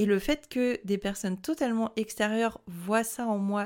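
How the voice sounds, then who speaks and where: Fairly slow speech from a woman at a medium pitch with ordinary pitch variation, in a very clean recording with a silent background. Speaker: podcast host. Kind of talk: casual solo monologue. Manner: spontaneous, unscripted.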